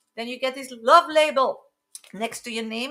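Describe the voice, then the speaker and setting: A woman projects a raised voice at a moderate pace, her intonation lively. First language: French. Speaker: psychic tarot reader. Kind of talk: live stream reading. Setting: live stream.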